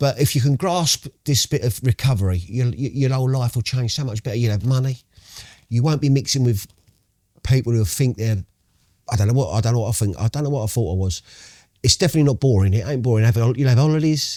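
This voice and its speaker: Recorded with a dry, close sound and no echo, a man talks at a very fast pace in a somewhat breathy, medium-pitched voice with ordinary pitch variation. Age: 60s. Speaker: recovering addict. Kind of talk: podcast interview. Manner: animated.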